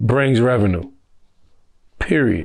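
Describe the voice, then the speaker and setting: The pitch varies in an ordinary way on a very clean recording with a silent background. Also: man. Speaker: nightlife business co-owner. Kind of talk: interview. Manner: casual, unfiltered street speech.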